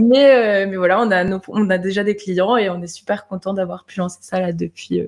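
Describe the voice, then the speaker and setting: A woman speaks at a moderate pace with hardly any pauses. Her medium-pitched voice keeps a fairly even intonation. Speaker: web designer. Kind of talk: interview.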